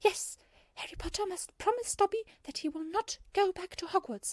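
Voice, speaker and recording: A squeaky, put-on character voice with an extremely high pitch moves along at a moderate pace. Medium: read story. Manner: speaks of himself in third person; squealing, stammering.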